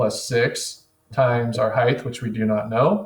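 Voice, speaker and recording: Intonation stays fairly even in this somewhat breathy voice. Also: man. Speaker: teacher. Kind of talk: tutorial. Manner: instructional.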